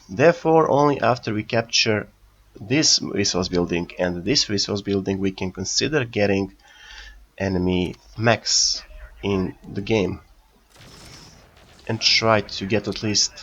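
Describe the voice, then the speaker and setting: A man with a fairly low pitch talks fairly slowly, his pitch varying in an ordinary way, with long, frequent pauses. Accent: non-native. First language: not English. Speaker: gaming youtuber. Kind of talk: gameplay commentary. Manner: halting.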